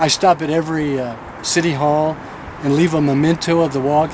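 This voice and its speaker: A man with an American accent talks at a moderate pace and a fairly high pitch. Noticeable background noise can be heard. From Tennessee. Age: 60s. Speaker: pastor. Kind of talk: news interview.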